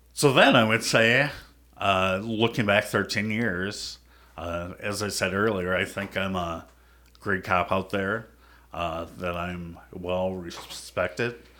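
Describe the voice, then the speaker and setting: Very slow speech with an American accent, fairly even intonation and a bright, sharp tone. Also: man, fairly low pitch for a man. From US Midwest, Minnesota. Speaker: police officer. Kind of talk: casual interview.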